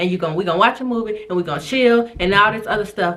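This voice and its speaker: There is noticeable background noise as a woman speaks with fairly high pitch and ordinary pitch variation. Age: 20s. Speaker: YouTuber, single mom content creator. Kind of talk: casual Q&A vlog chat. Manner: fast; occasional stuttering.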